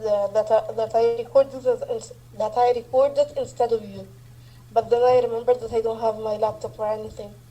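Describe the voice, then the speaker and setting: Through noticeable background noise, a woman delivers her words at a fairly quick pace. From Egypt. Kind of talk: casual chat.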